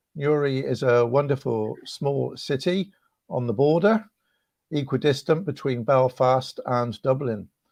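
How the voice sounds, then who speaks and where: A man with a West Country accent at a fairly slow pace, fairly high pitch and ordinary pitch variation, over a quiet background. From West Country, England (Cheltenham). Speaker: rector and evangelist. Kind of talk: online video interview.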